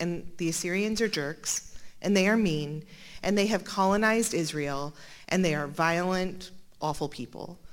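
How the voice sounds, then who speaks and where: There is audible room echo as a woman with an American accent speaks at a fairly low pitch with ordinary pitch variation. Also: moderate pace. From Montana. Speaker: Bible scholar. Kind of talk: lecture.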